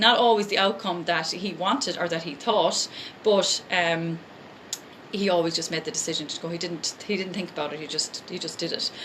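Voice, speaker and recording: A woman with an Irish accent speaks fairly low and fairly quickly, with ordinary pitch variation. Noticeable background noise can be heard. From Ireland. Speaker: life coach and essential oils seller. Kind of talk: live motivational talk. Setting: live stream. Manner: fast; animated.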